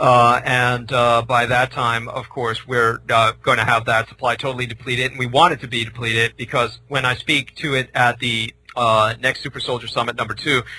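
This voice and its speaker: Hardly pausing, a man with an American accent speaks in a medium pitch and a monotone, flat intonation. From San Francisco, US West Coast. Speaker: former military librarian, author. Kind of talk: radio interview. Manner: fast; halting, many fillers.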